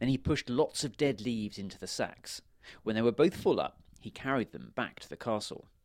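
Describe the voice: Plain reading aloud fills the clip. Pitch rises and falls in an ordinary way.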